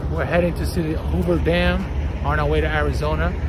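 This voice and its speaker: A man at a moderate pace with ordinary pitch variation, noticeable background noise, and a dry sound with no echo. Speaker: travel vlogger. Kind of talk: casual vlog chat. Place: street. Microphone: phone near.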